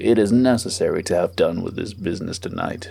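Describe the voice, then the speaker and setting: A man puts on a character voice, speaking at a fairly quick pace with a fairly low pitch. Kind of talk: formal courtroom questioning. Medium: read story. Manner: stern, dry.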